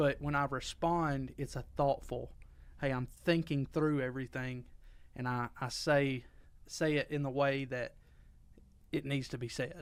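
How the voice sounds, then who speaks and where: A man with a fairly high pitch talks at a fairly slow pace, leaving long, frequent pauses. His intonation stays monotone and flat. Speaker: podcast co-host. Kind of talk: casual chat. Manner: loud.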